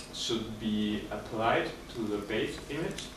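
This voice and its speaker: A man is speaking with audible room echo around him. Noticeable background noise runs under his voice. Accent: German. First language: German. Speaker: student. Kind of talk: project presentation. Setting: presentation room with audience, no microphone. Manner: hesitant, with fillers.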